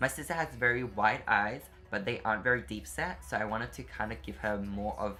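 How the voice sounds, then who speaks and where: A man talks while music plays in the background. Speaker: beauty youtuber. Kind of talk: makeup tutorial voiceover.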